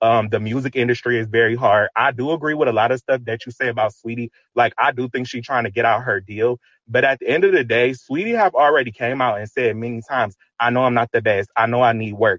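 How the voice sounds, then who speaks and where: Using fairly even intonation, a man rattles along at a very fast pace. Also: medium pitch for a man. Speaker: caller. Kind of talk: casual call-in discussion. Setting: online audio room.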